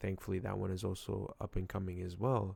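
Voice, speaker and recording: A man's very deep, low voice with vocal fry, on a very clean recording with a silent background. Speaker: gaming youtuber. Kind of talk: casual vlog. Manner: slightly slurred; halting.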